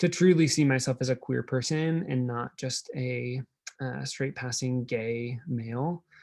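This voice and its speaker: A man with an American accent and an ordinary speaking voice, medium in pitch with ordinary pitch variation, at a fairly slow pace in a dry, close sound with no echo. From Nebraska, US Midwest. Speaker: drag performer and keynote speaker. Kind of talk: keynote talk. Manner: casual, filler-heavy.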